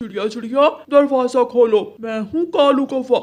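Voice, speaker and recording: This is a cartoonish character voice. It moves at a fairly slow pace. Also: man, extremely high pitch for a man. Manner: friendly, jokey.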